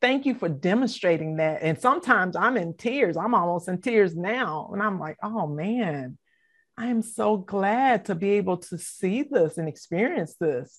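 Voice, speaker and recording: Against a quiet background, a woman talks at a fairly slow pace in a normal speaking voice, medium in pitch with lively intonation. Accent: American. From US South, Savannah, Georgia. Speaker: assistant pastor. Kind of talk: interview.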